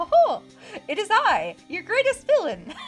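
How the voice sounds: A put-on character voice, squeaky and extremely high in pitch, speaks at a moderate pace. Faint music plays in the background.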